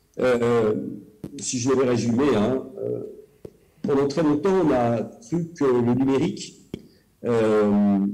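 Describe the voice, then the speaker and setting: Audible room echo around a man's medium-pitched voice with ordinary pitch variation. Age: 50s. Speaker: cultural policy official and elected councillor. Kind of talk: presentation. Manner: hesitant, many filler sounds.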